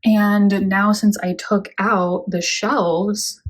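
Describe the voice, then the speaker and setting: A woman's somewhat breathy voice at a medium pitch, with fairly even intonation. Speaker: houseplant youtuber. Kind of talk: casual plant update vlog.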